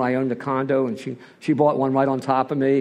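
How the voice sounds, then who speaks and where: A man with an American accent talks at a fairly quick pace in a medium pitch, an ordinary speaking voice. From Philadelphia, US. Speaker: recovering alcoholic speaker. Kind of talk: personal testimony.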